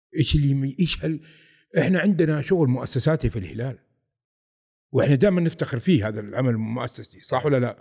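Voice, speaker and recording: Somewhat breathy and dark, mellow in tone, a man with a fairly high pitch talks at a fairly quick pace, his intonation lively and his loudness swinging widely. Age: 50s. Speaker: football fan, airport quality manager. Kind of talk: casual interview.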